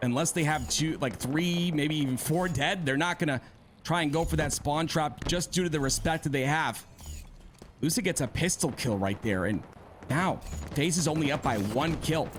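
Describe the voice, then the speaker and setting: A man with vocal fry speaks at a moderate pace and fairly high pitch. His pitch varies in an ordinary way and his loudness stays very even. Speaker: esports caster. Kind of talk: live commentary.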